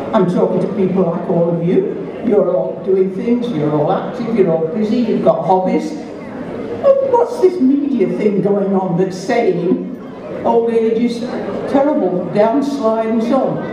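A woman at a fairly slow pace with ordinary pitch variation, plus audible room echo and noticeable background noise. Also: medium pitch for a woman. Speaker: blogger and festival opening speaker. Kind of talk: festival opening speech to an audience. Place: stage.

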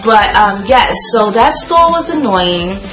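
Clear music sounds in the background. A woman talks at a moderate speed. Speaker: vlogger. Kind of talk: casual vlog chat. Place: home room.

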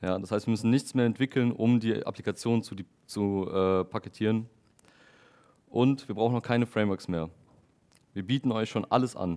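Pausing long and often, a man speaks in a dark, mellow tone with fairly even intonation. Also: moderate pace. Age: 20s. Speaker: software developer giving a tech talk. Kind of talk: lecture. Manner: hesitant with frequent fillers. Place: meeting room.

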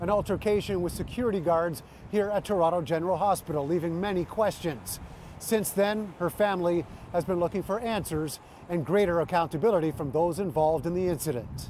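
A man with a high voice talks at a fairly quick pace, with ordinary pitch variation. The sound is dry with no echo, over light background noise. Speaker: TV news reporter. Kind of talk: news stand-up report. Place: street.

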